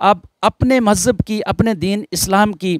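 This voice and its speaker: The sound is dry with no echo and a quiet background. Speech unfolds at a fairly slow pace. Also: man. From Poonch district, Jammu and Kashmir; Jammu and Kashmir. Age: 50s. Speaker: police officer; interview guest. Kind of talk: interview testimony. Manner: formal. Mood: reverent, measured. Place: garden. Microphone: handheld.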